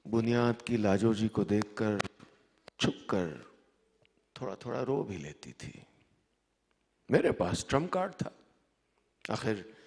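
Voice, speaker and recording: His pitch varies in an ordinary way. The man's voice sits fairly low. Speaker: storyteller. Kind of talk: live story reading. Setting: live stage, festival audience.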